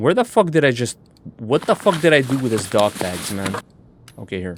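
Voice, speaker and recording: Noticeable background noise accompanies a man's medium-pitched voice. He talks at a fairly quick pace with very wide pitch swings. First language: not English. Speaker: gaming streamer. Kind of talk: gameplay commentary. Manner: casual, profane.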